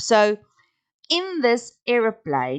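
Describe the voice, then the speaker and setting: A woman with a strong South African accent, in a dry, close sound with no echo. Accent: strong Afrikaans. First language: Afrikaans. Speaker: podcast host. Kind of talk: casual monologue. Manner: halting.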